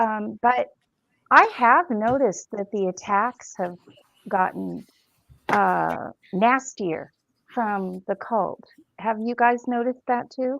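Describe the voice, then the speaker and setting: Fairly high in pitch, a woman speaks at a very slow pace with long, frequent pauses. Her pitch varies in an ordinary way, and the sound is dry and close with no echo. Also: very clean recording, silent background. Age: 60s. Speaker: former cult member, online show creator. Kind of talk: casual chat. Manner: halting.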